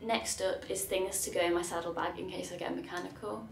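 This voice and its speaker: A woman, audible room echo, faint music behind her. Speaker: cycling vlogger. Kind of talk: casual vlog chat. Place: home room. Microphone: camera far.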